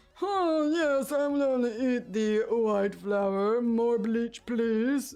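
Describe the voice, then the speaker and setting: A man uses a put-on character voice at an extremely high pitch, with ordinary pitch variation. He speaks at a very slow pace, with very even loudness. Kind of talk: upper-class, affected.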